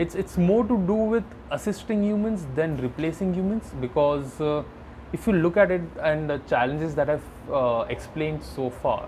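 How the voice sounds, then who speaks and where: With an Indian accent, a man talks at a moderate pace in a fairly high pitch and lively intonation, with noticeable background noise behind him. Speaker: AI product manager. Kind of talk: podcast interview. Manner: halting.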